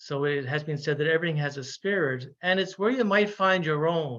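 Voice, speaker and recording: Against a quiet background, a man with a Newfoundland accent speaks at a fairly high pitch with ordinary pitch variation. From Newfoundland, Canada. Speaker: Jesuit priest and ecology researcher. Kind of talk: webinar lecture. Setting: online webinar. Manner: halting, with frequent fillers.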